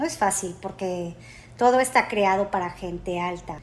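A woman at medium pitch, speaking at a fairly slow pace. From Mexico. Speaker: airline customer service agent. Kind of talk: interview.

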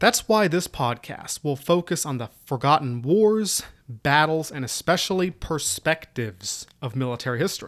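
Speaking with an American accent, a man uses a fairly high pitch and lively intonation at a moderate pace with hardly any pauses, on a very clean recording with a silent background. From US South, Southwest Virginia (Appalachia). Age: 30s. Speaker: military history podcaster, army staff sergeant. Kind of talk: solo podcast introduction. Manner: casual, self-deprecating.

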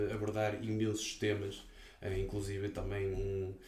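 A man speaks at a fairly slow pace in a fairly low pitch with monotone, flat intonation. Audible room echo and noticeable background noise surround him. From northern Portugal. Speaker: podcast host. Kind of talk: casual chat.

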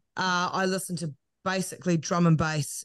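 A woman with a New Zealand accent at a fairly slow pace, fairly even in intonation, over a quiet background. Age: 30s. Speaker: broadcaster and podcaster. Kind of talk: casual interview chat.

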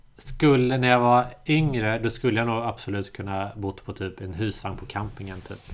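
In an ordinary speaking voice, a man talks with hardly any pauses, ordinary pitch variation and big swings in loudness. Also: medium pitch for a man, moderate pace. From Sweden, Småland (Ingatorp near Eksjö). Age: 30s. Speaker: podcast host. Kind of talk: casual chat.

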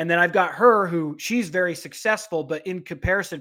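At a moderate pace, a man talks at a high pitch with ordinary pitch variation. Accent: American. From Utah. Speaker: beef packing plant strategist. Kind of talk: interview conversation.

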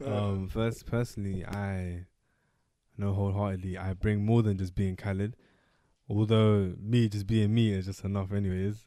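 A man speaks in a flat monotone with a dark, mellow tone. The background is quiet. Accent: London. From Somali heritage, raised in UK. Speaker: podcast co-host. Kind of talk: casual chat.

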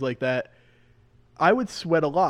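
A man talks with an American accent at a moderate pace. His pitch is fairly high and his intonation lively. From New Jersey, US (Mahwah). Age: 20s. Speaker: professional racing driver. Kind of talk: casual interview.

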